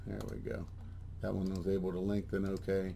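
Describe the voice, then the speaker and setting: Audible room echo surrounds a man whose tone is dark and mellow. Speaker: software trainer. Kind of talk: tutorial. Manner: casual with filler words and restarts.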